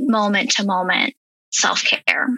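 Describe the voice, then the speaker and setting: At a fairly slow pace, a woman speaks with an unremarkable speaking voice at a medium pitch. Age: 30s. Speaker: health and wellness coach. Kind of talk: casual interview.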